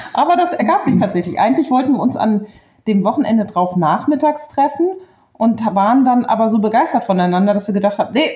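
Very fast and somewhat breathy, a woman talks with a dark, mellow tone and lively intonation. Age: 40s. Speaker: stay-at-home mother, trained bank clerk. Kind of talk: interview, personal love story.

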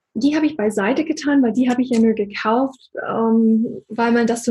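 A woman speaks at a moderate pace in a fairly high pitch, her dark, mellow tone somewhat breathy, with ordinary pitch variation. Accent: American. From USA. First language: English (speaking German). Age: 40s. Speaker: business coach. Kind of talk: interview.

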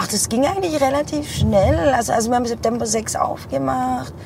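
A woman talks at a fairly quick pace with a fairly high pitch. Both noticeable background noise and audible room echo are present. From Heilbronn, Germany. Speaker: bar owner. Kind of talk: casual interview. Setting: in a car.

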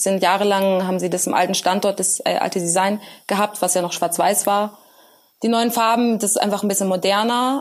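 An ordinary speaking voice, a woman at medium pitch, with ordinary pitch variation and a moderate pace. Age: 20s. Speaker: computer science student and working student developer. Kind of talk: casual interview.

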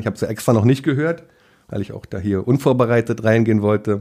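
A man speaks at a very fast pace. His voice has a medium pitch and a dark, mellow tone. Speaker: fishing YouTuber. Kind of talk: casual interview. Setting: at guest's home.

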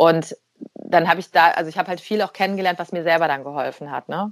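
A woman at a fairly quick pace, in a dry, close sound with no echo. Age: 40s. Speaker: life coach and speaker. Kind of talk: interview conversation.

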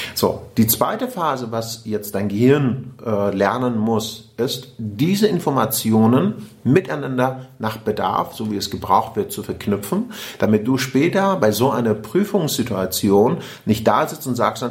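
A man with a normal speaking voice speaks at medium pitch and a fairly slow pace, with lively intonation and hardly any pauses. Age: 40s. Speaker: podcast host and personal development coach. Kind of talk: casual interview conversation.

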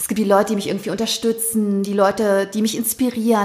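At a fairly quick pace, a woman speaks at a medium pitch. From Thuringia, eastern Germany (early childhood). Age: 30s. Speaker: bestselling author and podcaster. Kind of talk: casual interview conversation. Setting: in-person conversation at her place.

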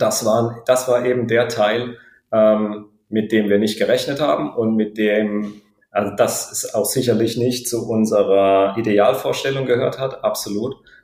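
Monotone and flat, a man's medium-pitched voice moves at a fairly slow pace. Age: 30s. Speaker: pilot and new father. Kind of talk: interview, personal birth story. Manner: halting, many fillers.

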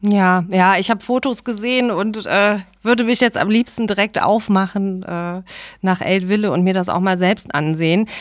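On a very clean recording with a silent background, a woman with an unremarkable speaking voice speaks at a moderate pace and medium pitch with fairly even intonation. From Remscheid, Germany. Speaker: podcast host. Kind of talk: interview.

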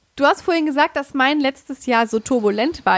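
A plain, everyday voice with lively intonation at a moderate pace, dry and close with no echo. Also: woman. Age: 30s. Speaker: sewing blogger and pattern designer. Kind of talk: casual chat.

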